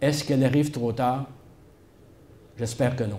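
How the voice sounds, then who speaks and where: Room echo is audible around the voice. The intonation stays monotone and flat. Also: man. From Quebec, Shawinigan. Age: 70s. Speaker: historian. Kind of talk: public talk. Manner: hesitant, many filler sounds.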